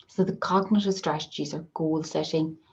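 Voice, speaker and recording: Speaking at a fairly slow pace in an Irish accent, a woman has a very deep, low pitch and a dark, mellow tone. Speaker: occupational therapist. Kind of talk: online webinar presentation. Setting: video call with screen sharing.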